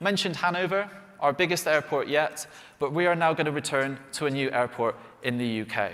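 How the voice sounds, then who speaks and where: In a West Country accent, the speaker talks at a fairly quick pace with lively intonation. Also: man. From England, Bristol. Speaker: flight sim developer presenting products. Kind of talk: live product announcement presentation.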